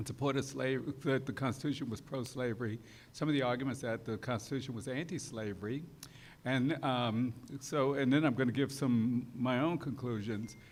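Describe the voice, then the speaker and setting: A man's fairly even intonation is heard with audible room echo around it. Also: medium pitch for a man. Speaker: law professor. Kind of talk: lecture. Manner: fast; hesitant, many fillers.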